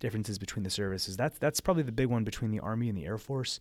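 With an American accent, a man talks in a fairly low pitch using lively intonation. The recording is very clean, and the background is silent. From northeastern Pennsylvania. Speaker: medical student. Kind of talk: interview.

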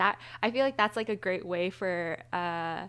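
A woman with an ordinary speaking voice and a fairly low pitch talks at a fairly slow pace in a very clean recording with a silent background. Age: 20s. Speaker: podcast co-host. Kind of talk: casual chat.

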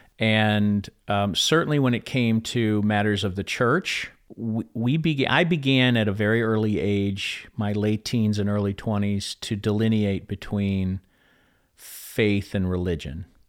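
A man speaks in an American accent with an unremarkable speaking voice. His pitch is fairly low with ordinary variation, and his pace is fairly slow. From Chicago, US Midwest. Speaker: author and speaker. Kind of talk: interview conversation.

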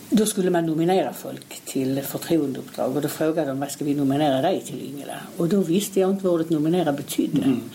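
Very fast with hardly any pauses and ordinary pitch variation, the speech comes through audible room echo and noticeable background noise. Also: woman, very deep, low pitch for a woman. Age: 60s. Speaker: local opposition politician. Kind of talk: interview.

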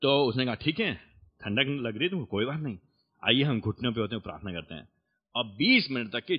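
A normal speaking voice from a man, medium in pitch, with lively intonation and a moderate pace. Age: 30s. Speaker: preacher. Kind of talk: sermon.

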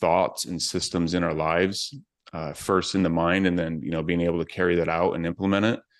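Over a quiet background, a man speaks with a very deep, low pitch and fairly even intonation. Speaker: supplement maker. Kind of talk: casual interview. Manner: hesitant, filler-heavy.

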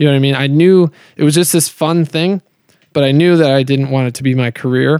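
An unremarkable speaking voice with an American accent, fairly quick and fairly even in intonation, in a dry, close sound with no echo. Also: man, fairly high pitch for a man. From Colorado. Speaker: professional disc golfer. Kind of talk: casual chat. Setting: in-person interview at a tournament.

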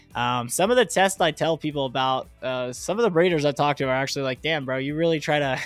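With music in the background, a man with a fairly high pitch speaks at a moderate pace and ordinary pitch variation. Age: 20s. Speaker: cannabis grower and podcast host. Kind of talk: solo podcast monologue. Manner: casual, filler-heavy.

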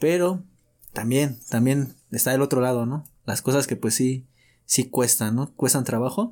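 In a very clean recording with a silent background, a man with a medium pitch and a dark, mellow tone is heard. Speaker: podcast co-host. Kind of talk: casual chat. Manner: animated.

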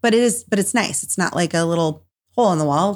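This woman has a plain, everyday voice with an American accent, a fairly low pitch and ordinary pitch variation. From northern Minnesota. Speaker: hairstylist and salon owner. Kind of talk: interview.

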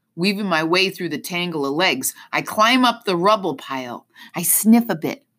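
Someone reading aloud in a natural voice, with lively intonation

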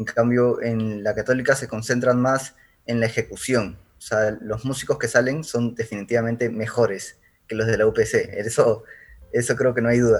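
A man speaks at a moderate pace, his pitch in the middle range. His intonation stays flat and monotone. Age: 20s. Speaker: music student and bassist. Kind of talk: casual interview.

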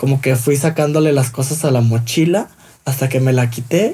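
With a Mexican accent, a man speaks at a moderate pace in a somewhat breathy, dark, mellow tone with ordinary pitch variation. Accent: Mexican Spanish (Jalisco). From Mexico, Guadalajara, Jalisco. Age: 20s. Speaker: fashion designer. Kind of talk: interview.

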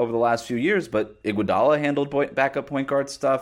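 A man with an American accent, medium in pitch, with ordinary pitch variation and a fairly quick pace, on a very clean recording with a silent background. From United States. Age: 20s. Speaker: sports podcast host and basketball writer. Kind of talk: personal monologue on current events; basketball analysis. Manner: halting, with fillers and restarts.

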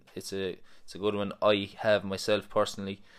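The speaker has an Irish accent and talks at a moderate pace on a very clean recording with a silent background. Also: man. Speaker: personal trainer. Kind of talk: casual chat. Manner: joking, banter.

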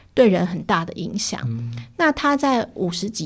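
Music plays in the background. A woman is speaking over it. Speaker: editor-in-chief of a digital media outlet. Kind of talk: interview.

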